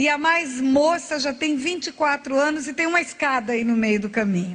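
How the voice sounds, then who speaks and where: Lively intonation at a moderate pace. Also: woman, high pitch for a woman. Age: 60s. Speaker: pastor. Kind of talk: sermon.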